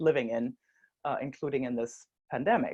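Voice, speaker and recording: Against a quiet background, a woman with a German accent speaks at a very deep, low pitch, with fairly even intonation and a moderate pace. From Germany. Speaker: social enterprise co-founder. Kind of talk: conference talk.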